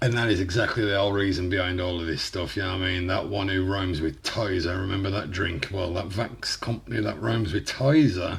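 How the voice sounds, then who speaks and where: A man speaks at a fairly quick pace with hardly any pauses. His voice is very deep and low, somewhat breathy, with ordinary pitch variation. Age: 30s. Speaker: YouTuber reacting to music. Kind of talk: reaction video commentary. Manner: animated.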